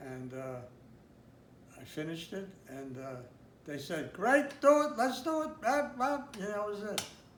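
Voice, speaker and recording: Amid noticeable background noise, a man with a high voice speaks fairly slowly, with very wide pitch swings, big swings in loudness and long, frequent pauses. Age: 80s+. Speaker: graphic designer. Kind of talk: interview answer.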